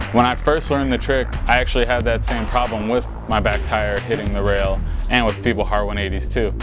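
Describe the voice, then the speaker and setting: With music underneath, a man delivers his words rather quickly. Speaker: BMX rider giving a trick tutorial. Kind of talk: how-to tutorial talking to camera.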